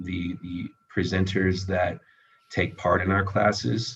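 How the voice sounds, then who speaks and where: At a very slow pace, a man with a very deep, low pitch talks in a monotone, flat way that sounds somewhat breathy. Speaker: entrepreneur. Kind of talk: presentation and Q&A on a video call. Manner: halting, many fillers.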